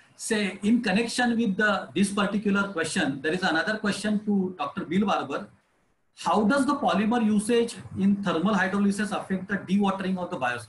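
With an Indian accent, a man talks at a fairly quick pace in a high pitch with ordinary pitch variation, amid light background noise and audible room echo. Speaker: municipal engineer moderating Q&A. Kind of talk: panel Q&A moderation. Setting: video call webinar. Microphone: video call.

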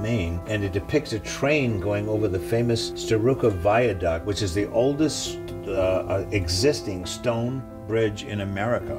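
Loud background noise runs throughout. Over it, a man talks. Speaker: auctioneer and gallery owner. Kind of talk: auction house presentation of a lot, casual talk to camera. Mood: enthusiastic. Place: shop.

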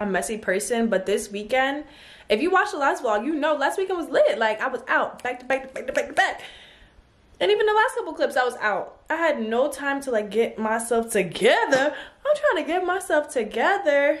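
Pitched high, a woman talks at a fairly quick pace with very wide pitch swings. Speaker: vlogger. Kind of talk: casual vlog chat. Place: home room. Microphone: phone near.

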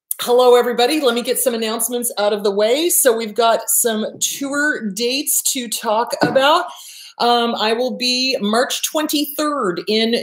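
Audible room echo surrounds a woman speaking at a fairly slow pace in a high pitch with ordinary pitch variation. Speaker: therapist show host. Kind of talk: casual vlog chat. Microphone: webcam.

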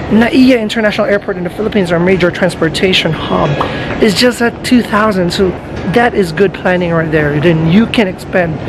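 Music plays behind a man's voice. He talks fairly quickly with ordinary pitch variation. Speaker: travel vlogger. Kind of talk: casual vlog chat. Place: station. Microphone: phone near.

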